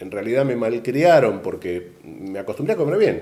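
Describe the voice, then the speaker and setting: A dark, mellow tone with very wide pitch swings, in an Argentine accent. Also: man. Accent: Argentine Spanish (Rioplatense). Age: 60s. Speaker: retired airline cabin crew manager. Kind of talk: interview.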